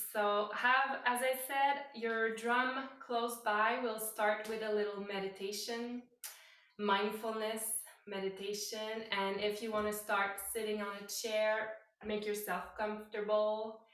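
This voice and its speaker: With a non-native accent, a woman speaks very slowly in a fairly high, monotone, flat voice, with noticeable background noise and audible room echo. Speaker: yoga teacher. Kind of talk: guided meditation. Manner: halting.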